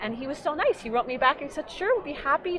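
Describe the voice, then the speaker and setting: A woman speaks very fast with an American accent. Her pitch varies in an ordinary way over noticeable background noise. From New York. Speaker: genealogy hobbyist and nonprofit founder; interview guest. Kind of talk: interview. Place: hall.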